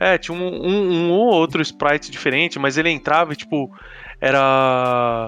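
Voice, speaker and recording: At a fairly slow pace, a man speaks in an unremarkable speaking voice with a fairly high pitch. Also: lively intonation. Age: 30s. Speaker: video game podcast guest. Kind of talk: casual chat.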